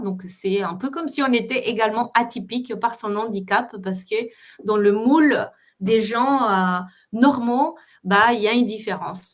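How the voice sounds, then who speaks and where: A woman with a Spanish accent, fairly high in pitch, at a fairly slow pace with ordinary pitch variation. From Colombia. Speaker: entrepreneur coach. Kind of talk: interview. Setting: online live stream.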